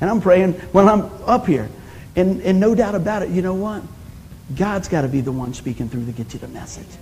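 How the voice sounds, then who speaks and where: Amid noticeable background noise, a man speaks at a fairly quick pace with a high pitch, an animated, warm tone, very wide pitch swings and big swings in loudness. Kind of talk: sermon, preacher in full flow. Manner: animated, call-and-response, punchy one-liners; warm, exhorting, urging the congregation to say amen.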